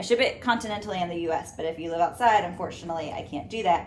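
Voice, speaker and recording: In an American accent, a woman talks at a fairly quick speed. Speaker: fitness trainer. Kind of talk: cooking tutorial. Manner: casual, chatty.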